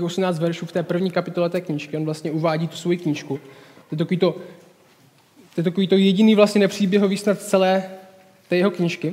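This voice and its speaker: This man has a high pitch and fairly even intonation. He talks at a very fast pace. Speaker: speaker. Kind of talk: sermon. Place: home room.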